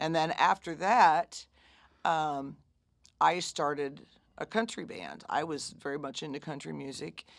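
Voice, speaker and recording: Very deep and low for a woman, her gravelly voice shows vocal fry, lively intonation, and big swings in loudness in a very clean recording with a silent background. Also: fairly slow pace. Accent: American. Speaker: blues singer and bandleader. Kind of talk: casual interview.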